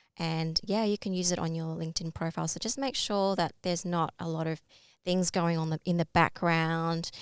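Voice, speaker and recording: In an Australian accent, a woman with a fairly low pitch talks at a moderate pace. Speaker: LinkedIn branding workshop presenter. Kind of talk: online workshop presentation. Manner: hesitant fillers.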